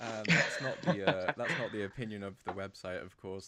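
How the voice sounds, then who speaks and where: Someone speaks at a fairly quick pace with a British accent. Noticeable background noise sits under the voice. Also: man. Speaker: podcast host. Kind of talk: casual chat. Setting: remote call.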